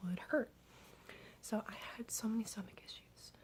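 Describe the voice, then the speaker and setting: Soft-spoken and somewhat breathy, a woman talks at a moderate pace with ordinary pitch variation. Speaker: ASMR creator. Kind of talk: ASMR storytime, talk to camera.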